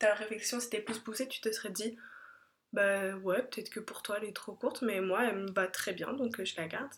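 This woman has a normal speaking voice, fairly high in pitch. Her intonation is fairly even. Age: 20s. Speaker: podcast host. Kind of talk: casual chat.

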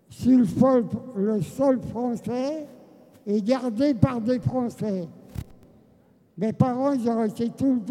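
Speaking at a very slow pace with long, frequent pauses, a man with a high pitch has a dark, mellow tone and ordinary pitch variation. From France, Seine-et-Marne. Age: 90s. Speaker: genocide survivor and former resistance fighter. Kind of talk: testimony.

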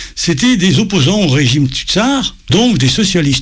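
In a room with audible echo, a man with a high-pitched voice speaks at a moderate pace, his pitch swinging very widely. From France, Paris, of Russian émigré parents. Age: 70s. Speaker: descendant of Russian émigrés, local historian. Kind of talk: interview, explanatory talk.

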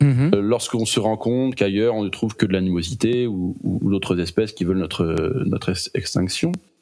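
A man's lively intonation at a fairly quick pace amid noticeable background noise. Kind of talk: casual chat about films.

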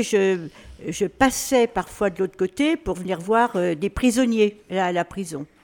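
Fairly slow speech from a woman, pitched at a medium level. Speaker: retirement home resident. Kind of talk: radio interview.

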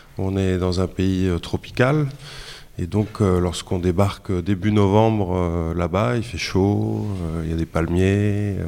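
The speech moves at a very slow pace. Pitch variation is ordinary. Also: man, very deep, low pitch for a man. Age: 40s. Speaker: freelance reporter. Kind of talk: interview answers for a school radio show. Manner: hesitant, many repetitions.

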